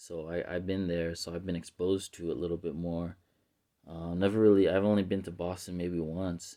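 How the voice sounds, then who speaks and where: In a Mid-Atlantic accent, a man delivers very deep, low, flat monotone speech with a dark, mellow tone. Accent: East Coast, Mid-Atlantic. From US Mid-Atlantic (Reading, Pennsylvania and Baltimore). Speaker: language enthusiast vlogger. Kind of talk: casual vlog monologue. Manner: many fillers, hesitant.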